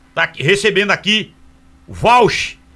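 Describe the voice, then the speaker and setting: Fairly slow, raised, projected speech from a man, with high pitch, a bright, sharp tone, and ordinary pitch variation. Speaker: radio host. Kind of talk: live radio talk show. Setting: radio studio.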